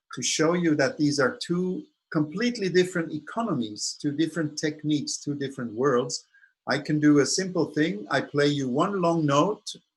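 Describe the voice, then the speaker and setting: A man talks in a somewhat breathy voice pitched fairly high. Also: lively intonation, moderate pace. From Switzerland. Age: 60s. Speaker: saxophonist and music professor. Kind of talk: masterclass lecture. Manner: halting.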